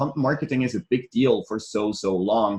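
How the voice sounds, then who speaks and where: A man speaks at a moderate pace with a non-native accent. His voice has vocal fry. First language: not English. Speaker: business coach. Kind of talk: online training. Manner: hesitant, repeats words.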